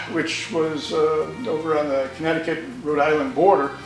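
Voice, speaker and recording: Amid audible room echo and music in the background, a man with an American accent speaks at a moderate pace and a fairly high pitch. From New York State, Hudson Valley. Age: 70s. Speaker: motorcyclist. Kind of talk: interview storytelling. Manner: halting, with fillers.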